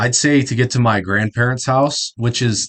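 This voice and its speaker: At a moderate pace, a man speaks in an American accent. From South Dakota, US Midwest. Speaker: YouTube reactor. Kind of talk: reaction commentary. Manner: casual, halting.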